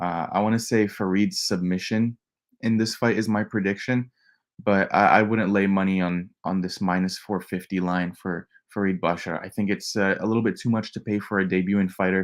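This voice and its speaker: The man talks at a fairly quick pace. His intonation is monotone and flat. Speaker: MMA betting analyst. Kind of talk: live stream fight breakdown. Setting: home, nephew sleeping next room. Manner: kept quiet, not loud; casual, many fillers.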